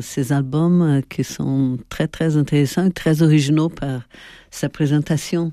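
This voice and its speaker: A woman with a Portuguese accent at a very slow pace, her tone dark and mellow, in a very clean recording with a silent background. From Brazil. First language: Portuguese (speaking French). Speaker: sociologist and colorist. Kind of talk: interview. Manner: hesitant.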